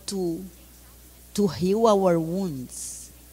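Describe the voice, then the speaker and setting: Very slow speech from a woman, her pitch varying in an ordinary way. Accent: Brazilian Portuguese. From Brazil. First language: Portuguese. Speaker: spiritual community leader. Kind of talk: interview answer.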